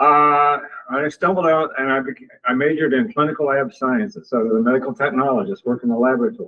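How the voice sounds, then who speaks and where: A man with a Midwestern American accent and a fairly high pitch. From US Midwest, Missouri. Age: 70s. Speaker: retired university dean. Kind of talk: personal introduction talk at club meeting.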